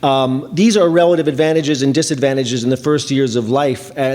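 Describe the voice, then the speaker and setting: There is noticeable background noise behind this man, whose voice sits at a medium pitch. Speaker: education policy researcher. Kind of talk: conference panel presentation. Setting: conference panel with audience. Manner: fast.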